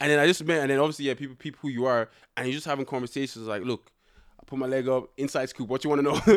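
A man talks at a very fast pace on a very clean recording with a silent background. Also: medium pitch for a man. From Ireland, Dublin (born in Nigeria, left at about three). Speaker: reality TV contestant. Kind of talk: casual chat. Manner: animated, joking.

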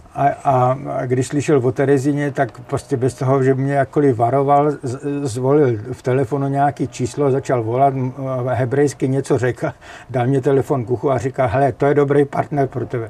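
Speech comes at a moderate pace. Noticeable background noise is present. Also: man, medium pitch for a man. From Czechia, northern Moravia (Jeseník). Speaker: architectural photographer. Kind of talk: interview. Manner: energetic; halting, with repetitions.

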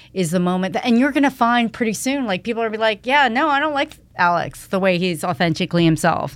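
In a very clean recording with a silent background, a woman talks at a fairly quick pace in a normal speaking voice, her intonation lively. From Canada (Toronto area). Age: 50s. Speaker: fashion retail executive. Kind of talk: casual interview conversation.

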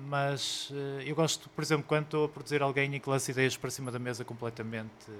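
A man is speaking at a medium pitch. His intonation stays fairly even. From Portugal, Porto area. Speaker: DJ, producer and musician. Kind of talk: live interview. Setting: record store with live audience. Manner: halting, many repetitions.

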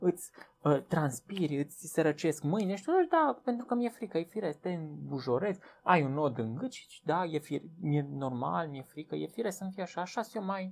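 A high-pitched man talks at a moderate pace with lively intonation and big swings in loudness. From Romania, Transylvania (village of Viștea). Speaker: biologist, teacher and author. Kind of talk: interview.

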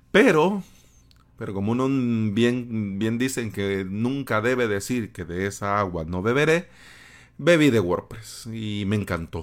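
On a very clean recording with a silent background, a man has a normal speaking voice and a fairly low pitch. He talks at a fairly slow pace with lively intonation. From El Salvador, San Salvador. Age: 30s. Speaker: podcast host, web developer. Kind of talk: solo podcast monologue.

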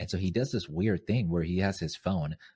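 A man with an American accent talks at a fairly quick pace. His pitch is very deep and low, with a dark, mellow tone. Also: dry, close sound with no echo, very clean recording, silent background. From Zimbabwean American. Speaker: podcaster and content creator. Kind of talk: casual interview.

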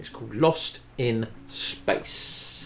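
A man talks with a British accent. His pitch is medium, with ordinary variation. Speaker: radio host. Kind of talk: radio dj patter. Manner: laid-back banter; casual, upbeat, chatty.

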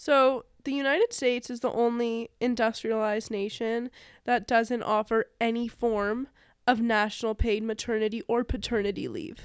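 A woman at a fairly high pitch, moderate pace and fairly even intonation. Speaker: podcast co-host. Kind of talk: casual chat.

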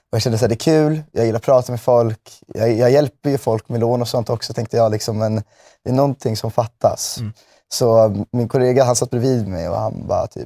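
In a normal speaking voice, a man talks at a fairly quick pace with fairly even intonation and medium pitch, the sound dry and close with no echo. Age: 20s. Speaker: music manager. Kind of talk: casual interview. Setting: studio.

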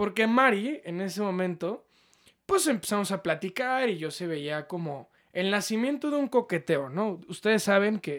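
In a very clean recording with a silent background, a man with a Mexican accent speaks fairly slowly at a high pitch with lively intonation. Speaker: podcast co-host. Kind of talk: casual chat.

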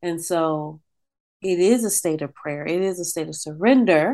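A woman speaks with a Californian accent at a fairly slow pace. Her tone is warm and animated. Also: quiet background. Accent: general American, Californian. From San Francisco Bay Area, US. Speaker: singer and performing artist. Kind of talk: casual interview conversation. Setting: video call. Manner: warm, animated, laughs often.

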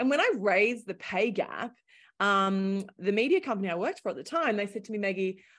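Over a quiet background, a woman with an Australian accent talks at medium pitch and a fairly quick pace. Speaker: startup founder, former journalist. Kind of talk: interview conversation.

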